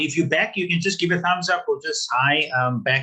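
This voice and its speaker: A man speaks with a bright, sharp tone. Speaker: business workshop facilitator. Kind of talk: webinar lecture. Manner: fast; halting, many fillers and repeats.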